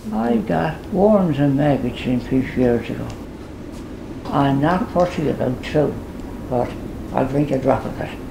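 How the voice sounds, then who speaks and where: Against noticeable background noise, a woman with a Newfoundland accent speaks very slowly in a very deep, low voice with lively intonation. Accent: Newfoundland outport. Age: 80s+. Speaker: farmer. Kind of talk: interview answer. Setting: at home. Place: home room. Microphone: camera far.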